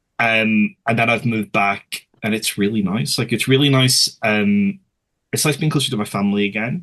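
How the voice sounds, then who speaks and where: A man with a Belfast accent talks with ordinary pitch variation. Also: medium pitch for a man, moderate pace. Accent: Belfast Northern Irish. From Northern Ireland, West Belfast. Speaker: author. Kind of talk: casual chat.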